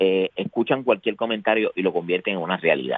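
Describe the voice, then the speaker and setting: Ordinary pitch variation marks this man's fairly low-pitched voice. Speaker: political commentator. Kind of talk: political discussion.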